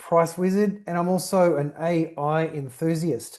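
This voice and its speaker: Fairly even intonation from a man with an Australian accent. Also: quiet background. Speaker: company founder and CEO. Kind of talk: webinar presentation. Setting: online webinar. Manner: structured, talks in bullet points.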